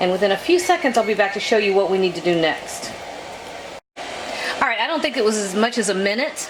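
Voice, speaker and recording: A woman with an American accent at a moderate pace, amid noticeable background noise. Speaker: cooking channel host. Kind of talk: cooking tutorial. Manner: casual, chatty.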